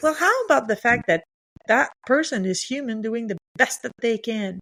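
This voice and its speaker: Pitched fairly high, a woman speaks with lively intonation in a dry, close sound with no echo. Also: moderate pace. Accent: French. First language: French. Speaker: leadership coach. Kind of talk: podcast interview.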